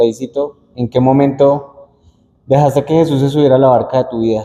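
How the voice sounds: This man's voice sits at a medium pitch, with fairly even intonation and a dark, mellow tone. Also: fairly quick pace.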